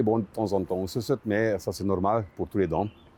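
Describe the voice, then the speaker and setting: This man's voice sits at a fairly low pitch. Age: 60s. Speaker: dental patient. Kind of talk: testimony. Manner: halting, many filler sounds.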